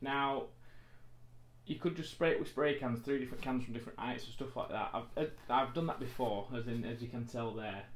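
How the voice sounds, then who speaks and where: A man speaks with a British accent at a fairly quick pace. His pitch sits in the medium range. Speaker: wargaming terrain crafter and painter. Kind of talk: tutorial. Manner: casual, chatty.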